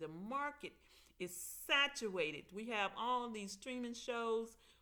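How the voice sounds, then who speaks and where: With a Mississippi accent, the speaker talks at a fairly slow pace in a bright, sharp tone with lively intonation. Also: woman. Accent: Mississippi Southern. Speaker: aspiring TV writer and vlogger. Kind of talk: casual vlog monologue.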